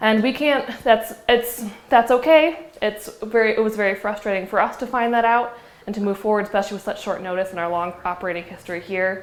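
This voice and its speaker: A woman's voice, fairly high in pitch, comes through with noticeable background noise. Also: ordinary pitch variation, fairly quick pace. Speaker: executive director of an arts center. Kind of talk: public talk. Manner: fast.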